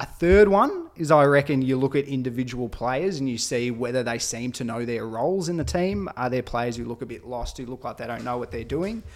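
A man in an Australian accent speaks at a fairly quick pace with lively intonation. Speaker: podcast co-host, football fan. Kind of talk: casual chat, banter. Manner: animated, loud.

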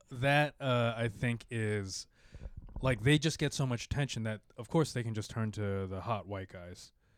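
At a moderate pace, a man with a normal speaking voice and medium pitch speaks with ordinary pitch variation in a very clean recording with a silent background. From Filipino-American. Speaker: podcast host and stand-up comedian. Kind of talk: casual chat.

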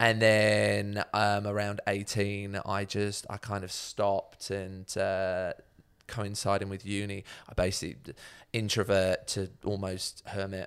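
On a very clean recording with a silent background, a man with a southern English accent speaks very slowly in a fairly low, monotone, flat voice. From southern England, Buckinghamshire. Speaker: social enterprise founder and CEO. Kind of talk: casual interview.

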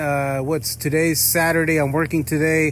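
A man heard through audible room echo and noticeable background noise. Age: 40s. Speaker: listener calling in by voicemail. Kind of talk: voicemail message.

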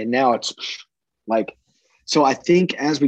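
A man speaks with a Midwestern American accent. The sound is dry and close, with no echo. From US Midwest, southeastern Iowa. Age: 20s. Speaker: farmer and agronomy entrepreneur. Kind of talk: casual interview.

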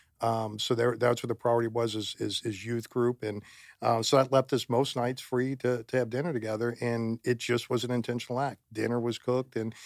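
A normal speaking voice with an American accent comes through on a very clean recording, with a silent background and a dry, close sound with no echo. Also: man. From Florida. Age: 50s. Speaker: church volunteer and father. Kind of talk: casual chat.

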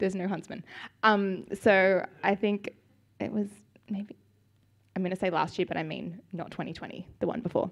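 Speaking at a moderate pace with long, frequent pauses, a woman with an Australian accent keeps a medium pitch and a monotone, flat intonation. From Australia, Sydney. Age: 20s. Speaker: church member giving testimony. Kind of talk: testimony interview. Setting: church service.

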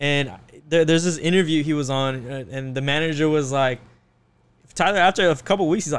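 A man with a plain, everyday voice speaks at a fairly quick pace in a fairly high pitch with ordinary pitch variation. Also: very clean recording, silent background. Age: 20s. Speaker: photographer. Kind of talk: casual chat.

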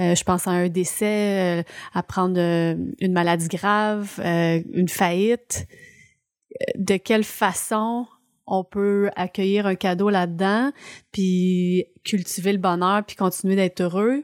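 Recorded very cleanly against a silent background with a dry, close sound and no echo, a woman of medium pitch speaks very slowly in a Quebec accent with fairly even intonation. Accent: Québécois French. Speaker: podcast co-host. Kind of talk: casual chat.

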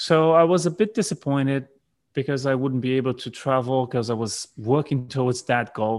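A man with a Brazilian accent, medium in pitch, at a moderate pace with ordinary pitch variation, on a very clean recording with a silent background. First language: Portuguese. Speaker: business coach and entrepreneur. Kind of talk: casual interview. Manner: halting, many fillers and repeats.

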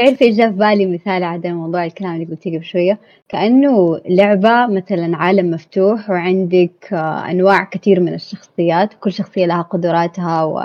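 With an unremarkable speaking voice, a woman talks at a moderate pace in fairly even intonation. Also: medium pitch for a woman, hardly any pauses. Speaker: podcast guest. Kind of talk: casual chat.

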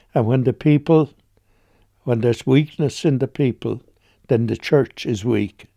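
Against a silent background on a very clean recording, a man with a West Clare accent speaks fairly slowly in a dark, mellow tone. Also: dry, close sound with no echo. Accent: Irish (West Clare). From Ireland, County Clare. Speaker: retired priest. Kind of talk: radio interview.

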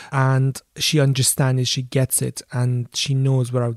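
A man speaks at medium pitch, somewhat breathy, at a fairly slow pace with fairly even intonation. The sound is dry and close with no echo, on a very clean recording with a silent background. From Iran. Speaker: filmmaker and adventurer. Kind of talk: interview. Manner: halting.

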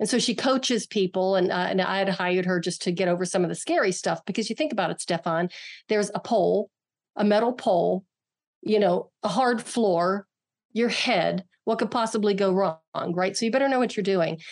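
A woman's ordinary speaking voice, medium in pitch with ordinary pitch variation, with an American accent and a fairly quick pace. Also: very even loudness. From western Pennsylvania, near Pittsburgh. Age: 60s. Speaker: martial artist and author. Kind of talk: interview conversation.

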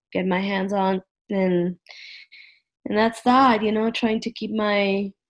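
A woman talks at a medium pitch. Her intonation stays fairly even. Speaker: guest. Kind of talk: casual chat. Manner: halting.

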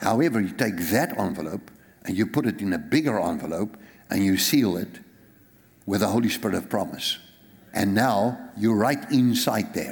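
With lively intonation and a South African accent, a man speaks at a moderate pace in a medium pitch. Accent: South African, Afrikaans-accented English. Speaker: pastor. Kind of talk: sermon. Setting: church.

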